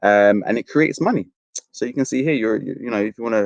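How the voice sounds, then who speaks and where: In a dry, close recording with no echo, a man talks at a very fast pace. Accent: English. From London, Fulham. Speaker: university outreach presenter. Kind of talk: careers presentation.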